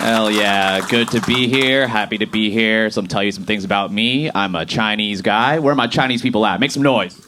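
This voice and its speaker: Amid noticeable background noise and audible room echo, a man with a fairly low voice and ordinary pitch variation talks at a fairly quick pace with hardly any pauses. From Boston, US Northeast. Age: 30s. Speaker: stand-up comedian. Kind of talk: stand-up. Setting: stage with audience.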